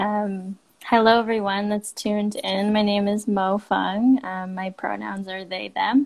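A woman with a Canadian accent, fairly slow and flat in a monotone, over a quiet background. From Canada. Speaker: marine biology student and outdoor ambassador. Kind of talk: casual interview. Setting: Instagram live stream. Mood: warm, reflective. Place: home room. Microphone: earbuds.

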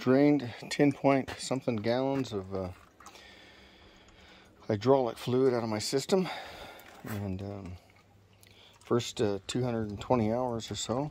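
A man at a very slow pace with ordinary pitch variation, long, frequent pauses and light background noise. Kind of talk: tutorial. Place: street. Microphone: phone near.

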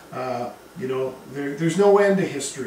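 Audible room echo and light background noise surround a man speaking at a moderate pace. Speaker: history teacher. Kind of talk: lecture. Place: classroom.

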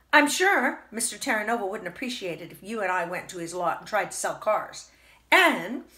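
Lively intonation in an unforced reading voice

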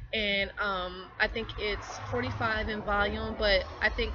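A woman with an American accent over noticeable background noise. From Delaware, US. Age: 20s. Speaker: network marketing vlogger. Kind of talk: casual vlog monologue. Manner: hesitant, many fillers. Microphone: webcam.

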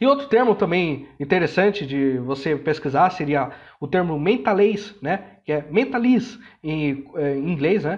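A fairly high-pitched man talks at a fairly slow pace with lively intonation. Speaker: language learning educator. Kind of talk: educational monologue. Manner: halting with many fillers.

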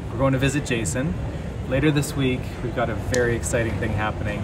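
A man talks over loud noise in the background. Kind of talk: casual vlog chat. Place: station. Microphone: phone near.

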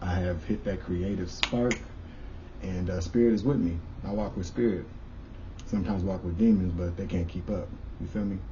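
A man with a very deep, low pitch is heard over noticeable background noise. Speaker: spiritual vlogger. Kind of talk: casual vlog chat. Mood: grateful, upbeat. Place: home room. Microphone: camera far.

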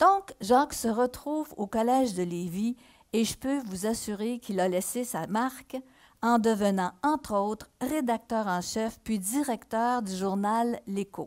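A woman at a very slow pace and fairly high pitch, against a quiet background. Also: ordinary pitch variation. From Quebec, Mauricie (Shawinigan); Quebec. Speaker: historical novelist. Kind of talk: reading aloud. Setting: stage with audience. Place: stage. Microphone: headset.

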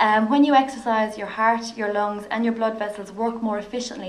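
Talking at a very fast pace, a woman with an Irish accent keeps a fairly high pitch and a monotone, flat intonation. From Ireland. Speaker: physiotherapist. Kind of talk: lecture. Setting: stage with audience. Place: hall.

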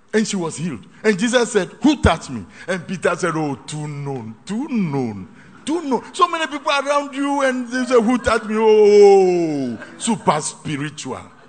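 This man's voice sits high in pitch. It moves in very wide pitch swings. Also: moderate pace. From Ghana. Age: 60s. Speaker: pastor. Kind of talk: sermon. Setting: hall with live congregation. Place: hall.

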